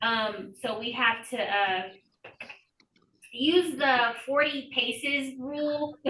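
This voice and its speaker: In a Spanish accent, a woman uses a raised, projected voice with a high pitch and ordinary pitch variation, and audible room echo surrounds her. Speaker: election official. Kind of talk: Q&A on a group call.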